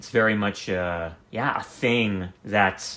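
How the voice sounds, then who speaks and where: The man speaks at a fairly low pitch. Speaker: comedy content creator. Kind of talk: casual rambling monologue. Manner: unpolished, hesitant, many fillers.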